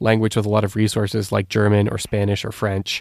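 A man with a medium pitch speaks at a fairly quick pace in a normal speaking voice, the sound dry and close with no echo. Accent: Canadian. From Canada. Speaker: language learning specialist. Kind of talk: interview. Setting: remote call.

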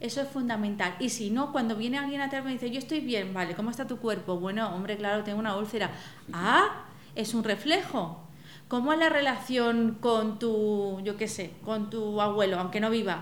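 Moderate pace and ordinary pitch variation amid audible room echo and noticeable background noise. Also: woman, fairly high pitch for a woman. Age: 40s. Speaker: psychologist. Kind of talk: casual chat.

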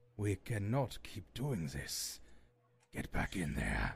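Using a put-on character voice, a man talks at a very slow pace in a fairly low pitch. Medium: actual play. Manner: exasperated, then alarmed shouting.

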